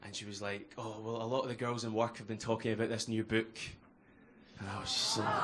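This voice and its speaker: A man's medium-pitched voice with a Glasgow accent, very fast and monotone with flat intonation, amid audible room echo and noticeable background noise. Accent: Scottish (Glasgow). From Scotland, Glasgow. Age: 20s. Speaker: comedian. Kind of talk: stand-up. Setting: stage with audience.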